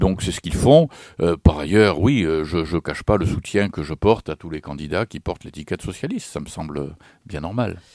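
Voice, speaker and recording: Very deep and low, a man's voice moves at a moderate pace with ordinary pitch variation and big swings in loudness, recorded very cleanly over a silent background with a dry, close sound and no echo. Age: 60s. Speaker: retired politician. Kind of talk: radio interview. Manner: hesitant, many fillers.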